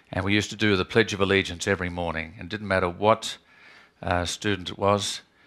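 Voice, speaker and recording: His intonation is monotone and flat. The man speaks with an Australian accent. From Australia, Adelaide. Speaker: criminologist and academic. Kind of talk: talk to students.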